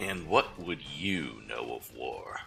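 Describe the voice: A man's slow, put-on character voice, extremely low-pitched with vocal fry and lively intonation, over faint music in the background. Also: fairly bright tone.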